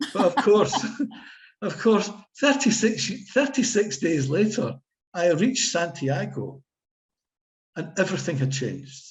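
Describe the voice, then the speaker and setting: With a Scottish accent, a man speaks high-pitched and fairly slowly, his pitch swinging very widely between long, frequent pauses. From Scotland. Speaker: author and pilgrim. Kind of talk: casual chat.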